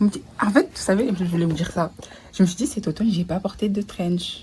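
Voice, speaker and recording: Her pitch sits in the medium range as a woman talks at a moderate pace, varying it in an ordinary way. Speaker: vlogger. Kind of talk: casual vlog chat. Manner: mixes French with English.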